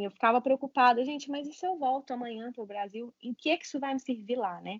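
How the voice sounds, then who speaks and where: The woman's pitch is high, with ordinary variation. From Brazil, Minas Gerais (Caratinga, Juiz de Fora). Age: 20s. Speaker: nurse. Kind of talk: interview.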